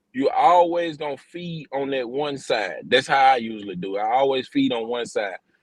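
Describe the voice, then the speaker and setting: Moving at a moderate pace with hardly any pauses, a man speaks at a fairly high pitch with lively intonation. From rural US, grew up in the country. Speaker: outdoors livestream host. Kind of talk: casual livestream chat.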